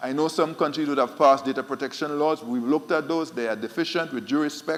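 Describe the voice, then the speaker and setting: Fairly high in pitch and fairly even in intonation, a man with an Eastern Caribbean accent talks at a very fast pace. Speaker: central bank official. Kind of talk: conference panel talk.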